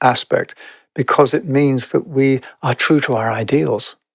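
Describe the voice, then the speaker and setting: A man speaks at a moderate pace and medium pitch with a British accent and ordinary pitch variation. The sound is dry and close with no echo. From England. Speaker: podcast guest, spiritual teacher. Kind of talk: podcast conversation. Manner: reflective, with hesitations.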